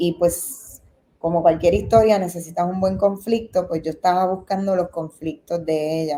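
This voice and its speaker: In a Puerto Rican accent, a woman with a dark, mellow tone speaks at a medium pitch with fairly even intonation. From Puerto Rico. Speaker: documentary film director. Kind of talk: interview.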